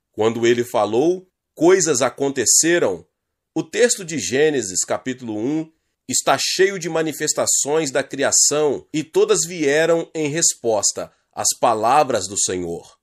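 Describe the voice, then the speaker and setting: A man with a fairly high voice speaks at a very slow pace in a solemn tone with lively intonation. The recording is very clean, with a silent background. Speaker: channel host reading a book aloud. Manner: earnest, solemn, sermon-like cadence with emphatic delivery.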